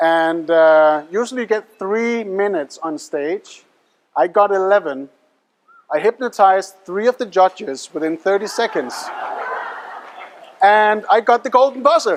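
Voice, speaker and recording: Fairly slow pace, lively intonation, long and frequent pauses. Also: man. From Denmark. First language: Danish. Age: young. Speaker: mentalist and hypnotist. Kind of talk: stage show patter. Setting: stage with audience. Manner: animated.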